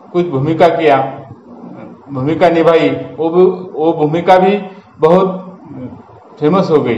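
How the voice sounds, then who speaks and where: A man with a Marathi accent speaks at a high pitch with ordinary pitch variation. Audible room echo and noticeable background noise surround him. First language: Marathi (speaking Hindi). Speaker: YouTuber. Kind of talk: storytelling monologue. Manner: halting, with fillers and repetitions.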